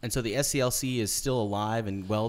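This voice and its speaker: A man speaks at a fairly quick pace in a fairly low pitch with fairly even intonation, an unremarkable speaking voice. The recording is very clean, with a silent background. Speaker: podcast host. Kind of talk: casual interview chat. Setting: studio.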